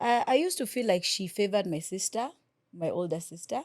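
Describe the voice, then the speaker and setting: A woman with a coastal Kenyan accent at a moderate pace, ordinary pitch variation, on a very clean recording with a silent background. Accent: Mombasa Swahili coast. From Kenya, Mombasa. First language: Swahili. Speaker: radio presenter. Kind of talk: casual interview chat. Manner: code-switching English and Swahili.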